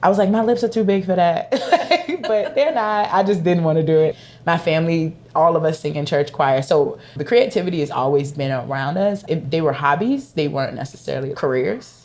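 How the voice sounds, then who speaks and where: A fairly quick speaker with a Virginia accent uses lively intonation. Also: woman, fairly low pitch for a woman. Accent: Virginia country accent, still noticeable. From Virginia, US South. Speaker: leather accessories maker. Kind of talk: podcast interview. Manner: casual, conversational.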